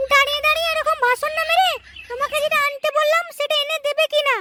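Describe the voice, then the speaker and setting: A man puts on a cartoonish character voice. It sits at an extremely high pitch and moves at a fairly quick pace. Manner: whiny, nagging.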